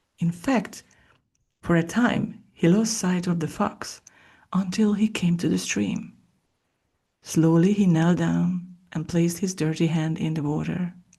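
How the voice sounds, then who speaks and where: In a calm, soft-spoken manner, a woman with a fairly low, somewhat breathy voice and a dark, mellow tone talks fairly slowly, leaving long, frequent pauses. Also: ordinary pitch variation, quiet background. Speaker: podcast host and audiobook-style reader. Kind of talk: ASMR soft-spoken book reading. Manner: soft-spoken, calm, slow.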